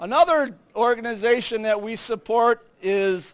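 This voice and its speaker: The voice is loud and very slow. Its pitch varies in an ordinary way. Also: man. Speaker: Lions Club member presenting charity checks. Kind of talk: public speech at charity event.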